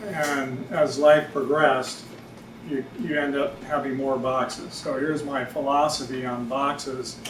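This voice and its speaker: Over noticeable background noise and audible room echo, a man with an American accent speaks at a fairly slow pace, his fairly high pitch held in fairly even intonation. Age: 60s. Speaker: writer. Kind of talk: reading aloud. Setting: stage with audience. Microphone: no microphone.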